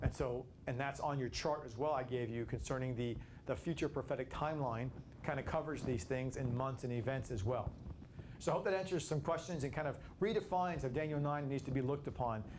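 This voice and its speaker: There is audible room echo as a man with a medium pitch speaks somewhat breathily at a very fast pace. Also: ordinary pitch variation. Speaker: Bible study teacher. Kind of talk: Bible study lecture. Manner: fast at times; halting, many repetitions.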